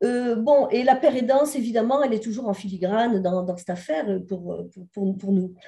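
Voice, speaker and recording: A woman's fairly high, somewhat breathy voice with a dark, mellow tone, moderate pace, hardly any pauses, ordinary pitch variation and big swings in loudness. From southern France. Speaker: sociologist and researcher. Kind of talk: conference presentation. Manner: hesitant, many fillers.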